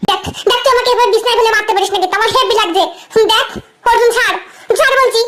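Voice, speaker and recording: Very fast and at very even loudness, a woman performs a put-on character voice at an extremely high pitch. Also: fairly even intonation. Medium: audio drama. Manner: sharp, bantering.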